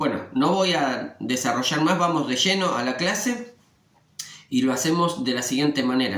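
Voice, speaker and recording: This man's voice sits fairly high and swings very widely in pitch at a moderate pace. The room echoes audibly, and background noise is noticeable. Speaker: religious study teacher. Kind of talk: scripture lesson. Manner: conversational with filler eh.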